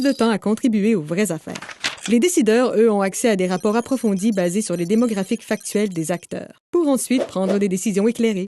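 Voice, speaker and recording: At a fairly quick pace, a woman speaks with a fairly high pitch, lively intonation, and an upbeat, confident tone. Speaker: voice actor. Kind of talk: corporate narration. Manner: upbeat, dynamic, confident.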